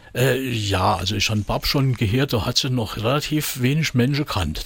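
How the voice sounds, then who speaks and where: In a Saarland accent, a man talks at medium pitch with ordinary pitch variation. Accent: Marpingen Saarland dialect. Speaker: comedian and musician. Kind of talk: casual chat.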